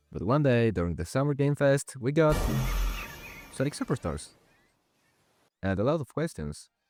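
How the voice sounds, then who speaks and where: Music plays in the background as a man with a non-native accent speaks at a medium pitch. His moderate-paced voice sounds dry and close, with no echo. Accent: non-native English accent, self-described. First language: not English. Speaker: gaming video creator. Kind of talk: scripted commentary video.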